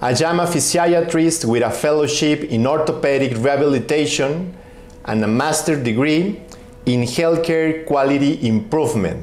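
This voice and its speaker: Over noticeable background noise and audible room echo, a man with a non-native accent speaks at a fairly high pitch with lively intonation. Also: very even loudness. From Mexico. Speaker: physician. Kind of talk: recorded medical presentation. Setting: pre-recorded video.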